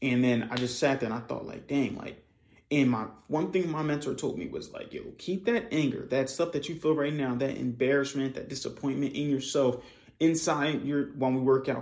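This is a plain, everyday voice with ordinary pitch variation. The pace is moderate. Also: man, fairly high pitch for a man. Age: 20s. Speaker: podcast host, copywriter. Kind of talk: casual monologue.

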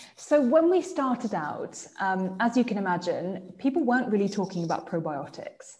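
Speaking with an English accent, a woman uses a fairly high, somewhat breathy voice with very wide pitch swings at a moderate pace. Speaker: skincare brand founder. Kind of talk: interview. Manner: hesitant, with fillers.

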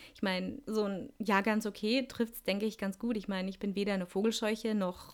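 This woman's voice is medium in pitch. She talks very fast. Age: 30s. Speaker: podcast host. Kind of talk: solo monologue podcast. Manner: casual, chatty.

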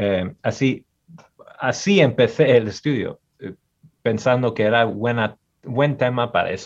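A man speaks at medium pitch and a fairly slow pace. He has an unremarkable speaking voice. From US Midwest, Michigan. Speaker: historian. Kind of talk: interview. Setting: video call.

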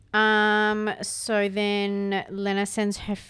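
In a very clean recording with a silent background, a woman with an Australian accent talks at a very slow pace in a medium pitch. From Canberra, Australia. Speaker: podcast co-host. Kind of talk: casual chat.

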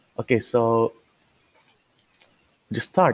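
Here a man speaks at a very slow pace. His pitch is medium, with ordinary variation.

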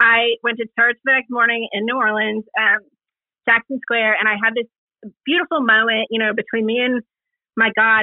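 A plain, everyday voice that moves at a fairly quick pace with fairly even intonation. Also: woman. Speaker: website co-founder. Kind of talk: casual chat. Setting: live online audio room.

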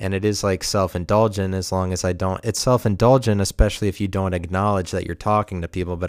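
On a very clean recording with a silent background, a man with an American accent speaks in a very deep, low, monotone, flat voice, the sound dry and close with no echo. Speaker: podcast host. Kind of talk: solo monologue podcast, rambling casual. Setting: home apartment. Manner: rambling, halting, self-reflective.

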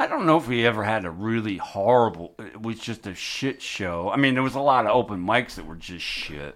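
With an unremarkable speaking voice, a man talks at a fairly quick pace in a fairly low pitch, with lively intonation, big swings in loudness and hardly any pauses. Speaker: haunted house performer. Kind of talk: casual chat. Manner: profane.

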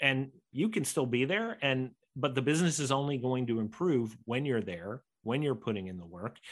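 Over a quiet background, a man with an American accent speaks at a moderate pace and a medium pitch. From United States. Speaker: entrepreneur and author. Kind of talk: podcast interview.

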